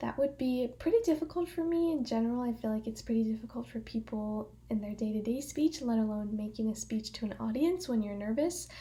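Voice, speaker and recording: A woman speaks at a fairly quick pace with lively intonation and hardly any pauses. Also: fairly high pitch for a woman. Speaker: college student. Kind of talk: class speech presentation. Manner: projecting, louder than usual; filler words, um.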